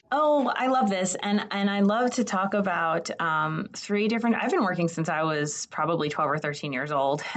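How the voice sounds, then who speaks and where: Over noticeable background noise, a woman of medium pitch speaks at a moderate pace with hardly any pauses, her pitch swinging very widely. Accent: American. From New Jersey. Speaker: state higher education official. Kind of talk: podcast interview.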